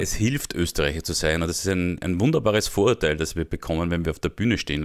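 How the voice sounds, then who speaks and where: In a very clean recording with a silent background, a man with a Viennese accent speaks at a very fast pace in a very deep, low pitch with ordinary pitch variation. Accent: Viennese Austrian German. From Austria, Vienna. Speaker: comedian. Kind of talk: interview.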